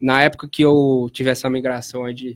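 A man's medium-pitched voice in a flat monotone. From Piracicaba, São Paulo state, Brazil. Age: 20s. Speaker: clothing brand founder and rap battle organizer. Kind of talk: casual interview chat.

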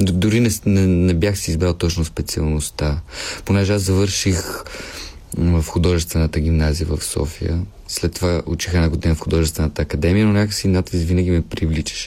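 A man's very deep, low voice holds very even loudness and fairly even intonation at a moderate pace. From Bulgaria, Pernik. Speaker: actor. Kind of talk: casual chat.

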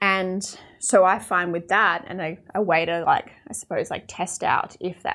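A woman with an Australian accent, fairly low in pitch, her intonation fairly even. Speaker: podcast host. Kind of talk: solo reflective monologue. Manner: casual, conversational.

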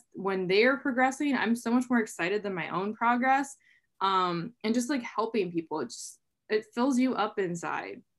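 Woman in a plain, everyday voice, medium pitch, ordinary pitch variation. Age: 20s. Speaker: online fitness coach, former engineer. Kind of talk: interview. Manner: casual, filler-heavy.

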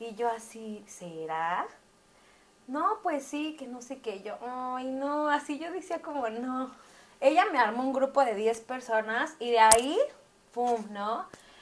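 Big swings in loudness run through speech delivered at a very slow pace. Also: woman, high pitch for a woman, lively intonation. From Mexico City. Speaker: eyelash artist and beauty academy owner. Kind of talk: casual chat. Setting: recording while live streaming on TikTok.

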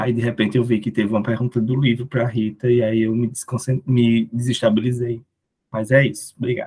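Somewhat breathy and flat, a man speaks in a monotone at a fairly quick pace, with a medium pitch and a dark, mellow tone. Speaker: student federation director. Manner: hesitant.

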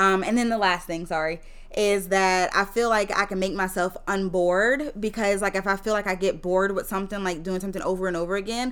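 With a Mississippi accent, a woman speaks with fairly even intonation. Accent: Southern US (Mississippi), audible. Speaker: teacher. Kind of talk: casual chat.

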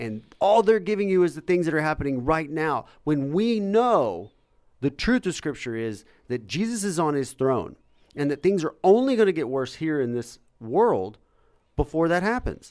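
With very wide pitch swings, a man talks in a fairly high register. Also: very clean recording, silent background. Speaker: host of a faith-based live show. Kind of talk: casual chat. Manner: fast talker.

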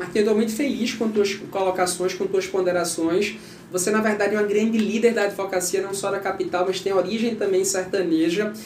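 A man's high-pitched, monotone, flat voice with hardly any pauses, audible room echo and noticeable background noise. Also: fairly quick pace. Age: 40s. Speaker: lawyer and bar association candidate. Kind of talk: interview.

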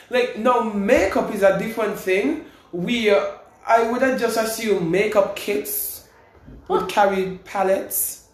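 A man's high voice at a fairly slow pace, with ordinary pitch variation, audible room echo and noticeable background noise. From St. Kitts. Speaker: university student and singer. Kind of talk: casual chat.

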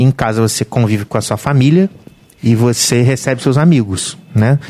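A man with an unremarkable speaking voice talks at a medium pitch with ordinary pitch variation, in a dry, close sound with no echo. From Volta Redonda, Rio de Janeiro state, Brazil. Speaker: bar and restaurant owner. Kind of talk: casual chat.

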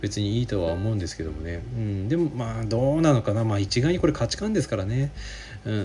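Music plays in the background as a man talks at a very fast pace. His medium pitch makes very wide swings. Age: 40s. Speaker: physical therapist podcaster. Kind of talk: solo radio-style talk. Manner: casual, many fillers.

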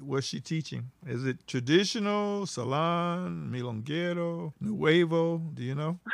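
In a very clean recording with a silent background, a man with a normal speaking voice talks at a fairly slow pace with hardly any pauses, a fairly high pitch and ordinary pitch variation. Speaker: podcast host interviewer. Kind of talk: casual interview chat.

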